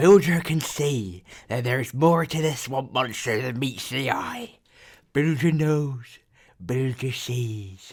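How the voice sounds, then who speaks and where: Using a put-on character voice, a man speaks in a croaky tone at a fairly slow pace and medium pitch. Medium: read story. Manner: refers to himself in the third person; mutters, broken simple grammar.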